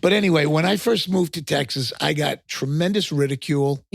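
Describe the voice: The speaker has an East Coast American accent, talking at a fairly quick pace with ordinary pitch variation. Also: man, fairly high pitch for a man.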